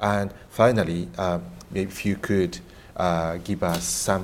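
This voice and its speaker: Very slowly, a man with a Japanese accent speaks in a very deep, low voice. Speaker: professor and moderator. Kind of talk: panel discussion moderation.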